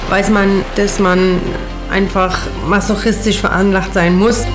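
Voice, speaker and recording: Clear music plays in the background as the speaker talks at a very slow pace. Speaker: voice-over speaker. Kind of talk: documentary trailer voice-over dubbing an interviewee. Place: booth. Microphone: studio mic.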